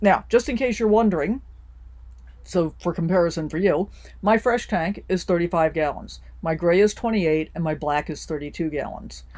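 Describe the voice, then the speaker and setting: Speaking with an American accent, a woman uses vocal fry at a fairly low pitch, a moderate pace and ordinary pitch variation. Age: 60s. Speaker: RV lifestyle vlogger. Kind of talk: tutorial. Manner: casual, friendly.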